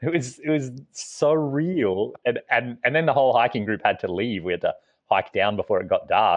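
Here is a man with an Australian accent and a medium pitch. His intonation is lively and his pace moderate. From Australia, small town. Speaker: overland traveller and author. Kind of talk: interview.

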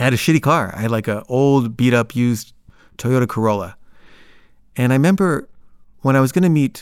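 The recording is very clean, with a silent background. A man talks at a fairly quick pace with ordinary pitch variation. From Los Angeles, US. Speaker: storyteller. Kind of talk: personal storytelling. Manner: casual, halting with repetitions.

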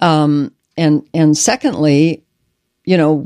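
With an American accent, a woman speaks in a fairly low pitch and a dark, mellow tone, the sound dry and close with no echo. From Omaha, Nebraska. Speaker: state legislator and retired teacher. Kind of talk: casual interview.

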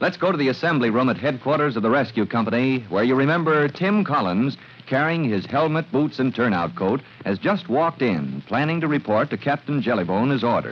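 At a fairly quick pace, a man with a medium-pitched voice talks with few pauses and big pitch swings.

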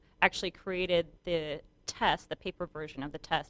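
The woman's fairly low voice shows ordinary pitch variation, with a dry, close sound and no echo. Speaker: matchmaker. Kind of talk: radio interview. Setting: studio.

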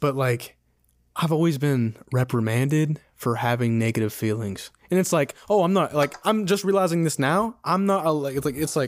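Here is a man with an American accent and an ordinary speaking voice, pitched fairly high. He keeps a moderate pace with lively intonation. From West Virginia, Clarksburg. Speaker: podcast guest, host's best friend. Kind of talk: casual chat.

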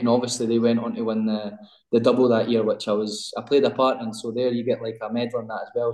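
In a Scottish accent, a man with a dark, mellow tone talks at a fairly quick pace and medium pitch, his intonation monotone and flat. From Scotland, West Lothian. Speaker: professional footballer. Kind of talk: interview.

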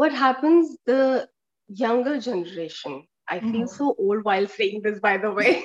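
A woman's voice sits at a fairly high pitch and rises and falls in very wide swings. The sound is dry and close, with no echo. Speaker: yoga teacher. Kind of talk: casual interview. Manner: calm; halting.

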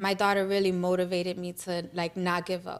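A woman's medium-pitched voice in a New York accent, monotone and flat in intonation, on a very clean recording with a silent background. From New York, the Bronx. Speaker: small business founder. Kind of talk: casual interview.

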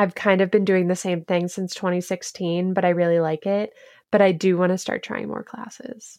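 Heard over a quiet background, a woman has a normal speaking voice at a medium pitch. She keeps a moderate pace with fairly even intonation. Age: 20s. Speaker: TikToker and recipe developer. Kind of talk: casual chat.

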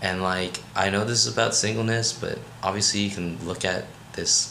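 A man with an American accent speaks at a moderate pace, with ordinary pitch variation. Audible room echo and noticeable background noise are present. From Maryland, US. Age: 20s. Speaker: college student. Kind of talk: casual chat.

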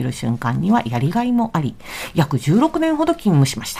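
Noticeable background noise runs under speech delivered at a moderate speed. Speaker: family sociologist and panelist. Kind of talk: radio talk show, reading listener mail aloud. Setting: radio studio, late-night live broadcast.

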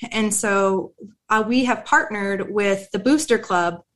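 A plain, everyday voice in an American accent, with ordinary pitch variation. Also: woman. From US Pacific Northwest, near Tacoma. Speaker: veteran nonprofit manager. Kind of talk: casual chat.

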